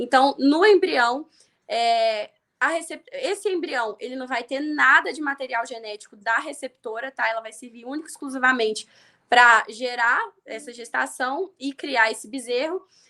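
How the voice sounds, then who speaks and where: A woman projects a high, raised voice with a bright, sharp tone, lively intonation and big swings in loudness. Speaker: veterinarian teaching livestock reproduction. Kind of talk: live stream lecture. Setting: live stream. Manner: fast.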